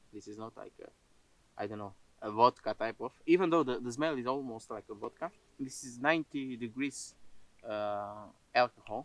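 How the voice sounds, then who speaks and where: With a non-native accent, the speaker talks at a moderate pace with ordinary pitch variation, big swings in loudness, and long, frequent pauses. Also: man, medium pitch for a man. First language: not English. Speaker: outdoor cooking vlogger. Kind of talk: casual outdoor vlog talk. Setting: outdoors in a forest. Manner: halting, many filler sounds.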